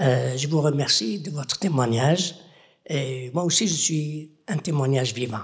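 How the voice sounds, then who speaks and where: The delivery is somewhat breathy and comes at a very slow pace. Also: man. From Algeria. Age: 70s. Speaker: audience member. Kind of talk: audience question.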